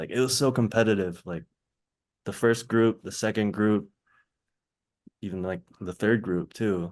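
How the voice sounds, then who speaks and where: Quiet surroundings behind a male speaker. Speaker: professional basketball player, former college champion. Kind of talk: podcast interview answer, casual conversational storytelling. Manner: soft-spoken.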